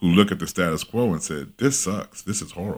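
Fairly low in pitch with ordinary pitch variation, a man rushes through his words at a very fast pace. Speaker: workplace image coach. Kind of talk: casual interview conversation.

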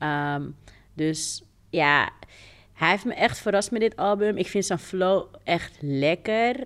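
Very slow speech on a very clean recording with a silent background. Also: woman, medium pitch for a woman, lively intonation. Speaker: podcast co-host. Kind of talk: casual chat.

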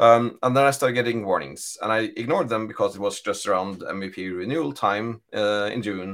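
In a Norwegian accent, a man of medium pitch talks at a fairly quick pace with hardly any pauses and ordinary pitch variation. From Norway. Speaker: data architect. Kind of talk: casual chat.

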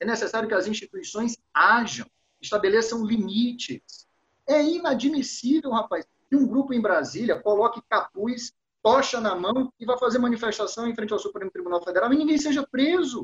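Extremely high in pitch, a man's voice rises and falls with lively intonation. The sound is dry and close, with no echo. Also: moderate pace. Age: 40s. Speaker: lawyer and law professor. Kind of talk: podcast discussion.

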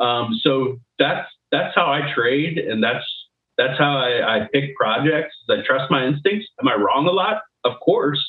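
This man has a plain, everyday voice, fairly high in pitch, with ordinary pitch variation, very even loudness and a fairly slow pace. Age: 30s. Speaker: recruiter and crypto trader. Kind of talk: interview.

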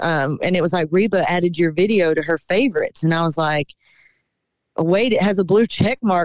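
With a Southern US accent, a woman speaks at a moderate pace and medium pitch with ordinary pitch variation, in a dry, close sound with no echo. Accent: Southern US (Georgia). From Georgia, US South (Cochran). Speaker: singer-songwriter. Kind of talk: radio interview.

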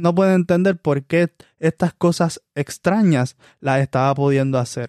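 Recorded very cleanly with a silent background and a dry, close sound with no echo, a plain, everyday voice talks at a fairly slow pace with very even loudness and ordinary pitch variation. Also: man, fairly high pitch for a man. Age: 20s. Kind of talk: sermon.

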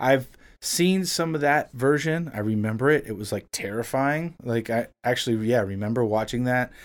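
An unremarkable speaking voice: a man with an American accent talks at a moderate pace and medium pitch with ordinary pitch variation, on a very clean recording with a silent background. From South Florida, Miami. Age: 30s. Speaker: music producer and musician. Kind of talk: casual chat.

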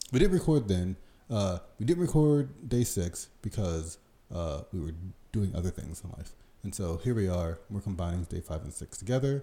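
A man with an American accent speaks at a moderate pace in a very deep, low voice that is somewhat breathy with a dark, mellow tone. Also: lively intonation. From United States. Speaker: sumo podcast co-host. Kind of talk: casual chat.

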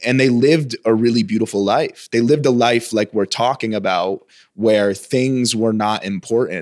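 Recorded very clean against a silent background, with a dry, close sound and no echo, a man with an American accent and an ordinary speaking voice talks at medium pitch with ordinary pitch variation, very even loudness and hardly any pauses. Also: moderate pace. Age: 30s.

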